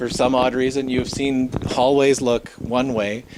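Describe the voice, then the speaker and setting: Noticeable background noise behind a man's medium-pitched voice. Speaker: ghost tour guide. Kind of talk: live guided tour talk to a group. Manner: casual, conversational.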